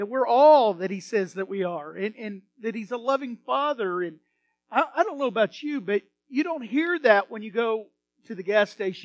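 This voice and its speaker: A Texan-accented man with a high pitch speaks in a warm, enthusiastic tone, using lively intonation and big swings in loudness, captured with a dry, close sound that has no echo. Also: moderate pace. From Texas, American. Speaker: pastor giving a sermon. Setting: church sanctuary. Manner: warm, enthusiastic, conversational.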